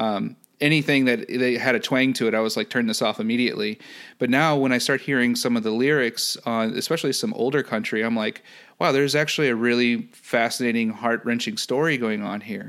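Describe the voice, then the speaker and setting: A plain, everyday voice in an American accent moves at a fairly quick pace with fairly even intonation. The recording is very clean, with a silent background. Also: man, medium pitch for a man. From US Midwest, St. Louis, Missouri. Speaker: analytics business manager. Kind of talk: casual interview. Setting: podcast.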